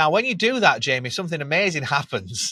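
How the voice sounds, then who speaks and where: In a very clean recording with a silent background and a dry, close sound with no echo, a man speaks in an animated tone that is bright and sharp. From Yorkshire, England. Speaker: B2B SaaS brand growth manager. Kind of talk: podcast interview.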